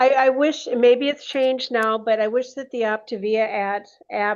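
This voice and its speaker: A woman with an ordinary speaking voice talks fairly slowly at a fairly high pitch, with fairly even intonation and a quiet background. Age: 60s. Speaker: health coaching client. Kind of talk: casual chat.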